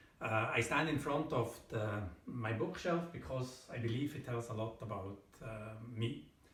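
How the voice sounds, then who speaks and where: At a fairly slow pace with long, frequent pauses, a man talks at a medium pitch with ordinary pitch variation amid audible room echo. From Switzerland. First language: German. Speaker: thriller author. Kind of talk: book presentation to camera. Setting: at home in front of bookshelf. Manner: hesitant, many fillers.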